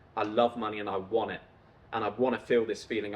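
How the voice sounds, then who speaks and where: A man with an English accent at a fairly quick pace. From England (Coventry, Peterborough). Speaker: YouTuber, entrepreneur. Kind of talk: personal storytelling monologue. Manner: casual.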